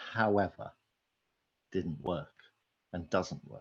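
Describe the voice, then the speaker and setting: With a British accent, a man talks at a fairly slow pace. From Britain. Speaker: conference speaker on marketing technology. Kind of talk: conference talk.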